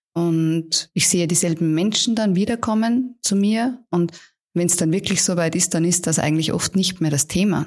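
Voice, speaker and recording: In a very clean recording with a silent background, a woman with a normal speaking voice and a fairly low pitch talks at a moderate pace, her loudness very even and her pitch variation ordinary. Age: 40s. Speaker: palliative care physician. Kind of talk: interview.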